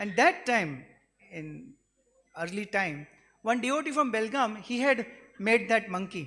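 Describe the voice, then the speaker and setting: The speaker keeps a moderate pace with a Gujarati accent. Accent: Indian (Gujarati) English. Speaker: devotee giving a glorification speech. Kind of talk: devotional speech with personal anecdotes.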